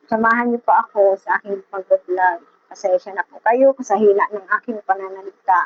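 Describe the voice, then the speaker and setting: A soft-spoken woman's medium-pitched voice with fairly even intonation and big swings in loudness. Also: moderate pace. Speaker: seamstress vlogger. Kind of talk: casual vlog talk. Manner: halting.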